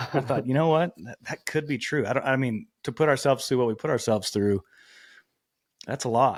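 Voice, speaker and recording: On a very clean recording with a silent background and a dry, close sound with no echo, a man with an American accent and an unremarkable speaking voice talks at a fairly quick pace and medium pitch, with ordinary pitch variation. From Texas. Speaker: podcast host. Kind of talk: casual interview chat. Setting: podcast recording.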